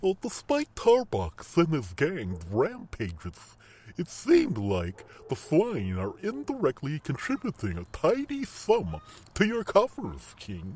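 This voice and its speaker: Put-on character voice from a man, pitched fairly high and delivered at a fairly slow pace. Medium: audio drama. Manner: hesitant, puzzled.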